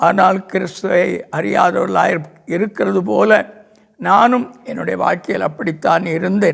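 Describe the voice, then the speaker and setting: With ordinary pitch variation, this man speaks in a voice that sits high for a man. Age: 80s+. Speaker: pastor. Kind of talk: religious testimony.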